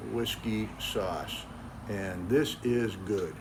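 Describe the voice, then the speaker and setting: With an American accent, a man speaks at a fairly low pitch amid audible room echo. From New England (Cape Cod, Massachusetts). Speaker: backyard cooking YouTuber. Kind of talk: cooking tutorial. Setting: outdoors in backyard. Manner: casual, folksy.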